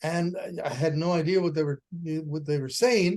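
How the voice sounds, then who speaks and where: At a moderate pace, a man talks in a high pitch. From Puerto Rico. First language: Spanish. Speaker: educator and author. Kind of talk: radio interview. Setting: video call.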